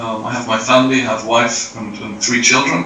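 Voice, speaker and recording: A man talks with fairly even intonation. Audible room echo and noticeable background noise accompany him. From England, London. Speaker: engineer at a crane company. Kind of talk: interview. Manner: hesitant, many fillers.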